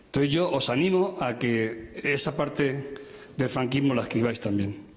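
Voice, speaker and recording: Talking at a fairly slow pace with very even loudness, a man uses a fairly high pitch and ordinary pitch variation, with audible room echo and noticeable background noise. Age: 70s. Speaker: audience member, former political prisoner. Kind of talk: audience comment at a public talk.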